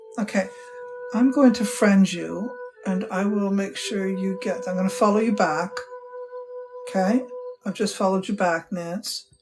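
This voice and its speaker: Woman at medium pitch with a warm tone, ordinary pitch variation and a moderate pace, long, frequent pauses, music in the background. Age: 60s. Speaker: witch and spiritual teacher. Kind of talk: live stream chat with viewers. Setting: live stream from home temple. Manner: casual, warm, conversational.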